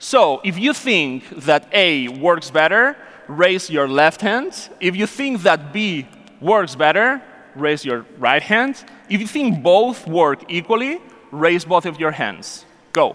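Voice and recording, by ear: Slow and with few pauses, a man speaks at a fairly high pitch in a fairly bright tone, making big pitch swings.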